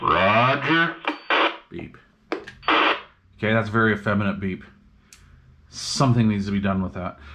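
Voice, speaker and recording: Through noticeable background noise, a man with a fairly low pitch and ordinary pitch variation speaks with long, frequent pauses. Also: fairly slow pace. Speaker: CB radio hobbyist. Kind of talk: casual tutorial. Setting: at home.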